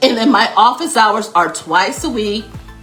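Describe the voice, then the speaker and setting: With music playing behind her, a woman talks at a moderate pace in an animated tone, her fairly high voice carrying lively intonation. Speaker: workplace consultant and coach. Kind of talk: live stream Q&A. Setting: live stream.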